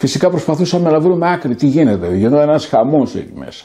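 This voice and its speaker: A man's fairly high voice carries a dark, mellow tone and lively intonation. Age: 70s. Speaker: political activist. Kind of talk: interview.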